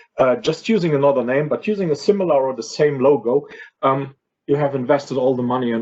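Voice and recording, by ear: A man's voice with a slightly mellow tone and fairly even intonation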